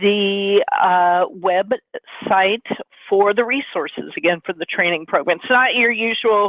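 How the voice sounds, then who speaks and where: A woman's medium-pitched voice moves at a fairly slow pace, its pitch varying in an ordinary way. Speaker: webinar host. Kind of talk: webinar wrap-up. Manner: loud.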